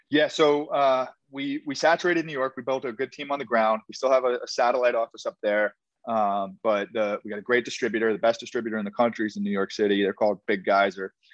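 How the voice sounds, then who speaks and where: The voice moves at a very fast pace with ordinary pitch variation in a dry, close sound with no echo. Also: man, medium pitch for a man. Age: 20s. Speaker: beverage startup founder. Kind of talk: casual interview chat.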